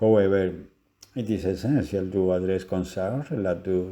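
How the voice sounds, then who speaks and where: Speaking at a moderate pace, a man has a very deep, low pitch and a dark, mellow tone. The background is quiet. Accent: Spanish. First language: Spanish. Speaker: lecturer. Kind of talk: lecture. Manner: halting.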